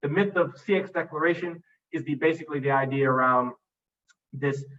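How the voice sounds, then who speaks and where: A man of medium pitch at a fairly quick pace, with ordinary pitch variation. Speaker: conference speaker on customer experience. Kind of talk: master class presentation. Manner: fast.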